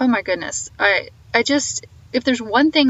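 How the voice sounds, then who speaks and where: A woman with a slight Southern US accent, speaking at a moderate pace with ordinary pitch variation. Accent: slight Southern twang. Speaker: podcast host. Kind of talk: podcast outro monologue. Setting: phone call. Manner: animated.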